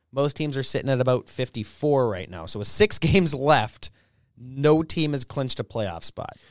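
Recorded dry and close with no echo against a silent background, a man of medium pitch speaks in an animated tone at a moderate pace with lively intonation. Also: big swings in loudness. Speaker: co-host. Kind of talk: casual banter podcast. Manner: joking, animated.

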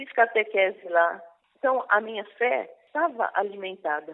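In an ordinary speaking voice, a woman talks at a fairly slow pace with fairly high pitch. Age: 60s. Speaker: prayer group coordinator. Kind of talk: testimony and preaching. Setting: online radio broadcast.

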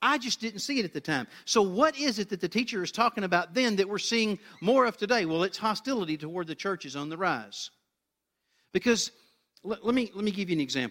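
Talking at a very fast pace, a man with a high pitch and a bright, sharp tone uses lively intonation, recorded dry and close with no echo, very clean, against a silent background. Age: 50s. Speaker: pastor. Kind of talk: sermon.

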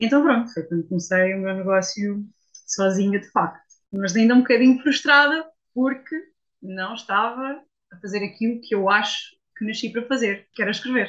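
At a moderate pace, a woman with a fairly high pitch and ordinary pitch variation has an ordinary speaking voice. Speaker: copywriter. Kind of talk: interview testimony.

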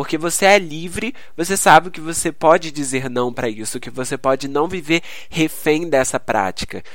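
A fairly high-pitched man's voice at a moderate pace with ordinary pitch variation. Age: 20s. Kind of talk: solo devotional podcast talk. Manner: halting.

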